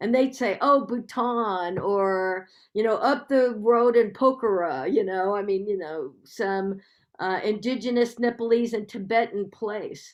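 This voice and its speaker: With an American accent and an unremarkable speaking voice, a woman talks at a fairly slow pace in a fairly high pitch, with ordinary pitch variation. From United States. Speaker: public health professor. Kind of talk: Q&A after a lecture.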